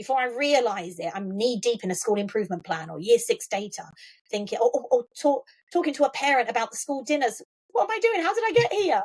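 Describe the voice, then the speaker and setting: In an Essex accent, a woman talks at a very fast pace. Her high pitch makes very wide swings. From Essex, England (Colchester). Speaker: school trust chief executive. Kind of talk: interview conversation. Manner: repetitive false starts.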